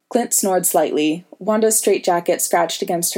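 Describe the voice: This plain reading aloud shows ordinary pitch variation.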